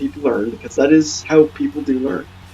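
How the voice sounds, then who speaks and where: A man talks at a very fast pace. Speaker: gaming video creator. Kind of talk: let's play commentary. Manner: stumbles over words; casual, rambling delivery.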